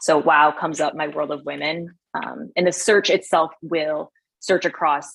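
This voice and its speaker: A woman with a fairly low pitch and fairly even intonation. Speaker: product presenter at tech event. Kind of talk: software demo. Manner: fast.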